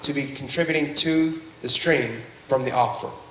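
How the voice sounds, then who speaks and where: A fairly high-pitched man at a moderate pace, with audible room echo and noticeable background noise. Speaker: groundwater district manager presenting at a public meeting. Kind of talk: public meeting presentation.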